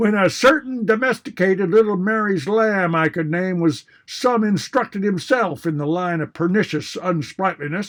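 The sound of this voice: Pitch varies in an ordinary way here. The reading voice is unforced.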